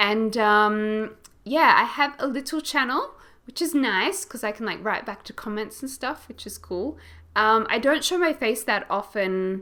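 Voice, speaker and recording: A woman with an Australian accent talks at a fairly slow pace in a bright, sharp tone. Her pitch is fairly high, and her intonation is lively. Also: big swings in loudness, very clean recording, silent background. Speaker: gaming YouTuber. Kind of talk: casual chat.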